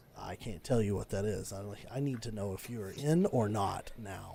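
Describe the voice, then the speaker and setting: Over clear background noise, a man does a raspy, put-on character voice at a fairly low pitch and a moderate pace. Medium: actual play. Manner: secretive, businesslike.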